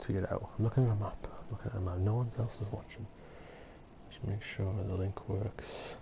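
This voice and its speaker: Somewhat breathy, a man speaks with a fairly low pitch, a dark, mellow tone and fairly even intonation. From Britain, a cold northern area. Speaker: gaming streamer. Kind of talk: live gameplay commentary. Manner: fast; rambling, casual.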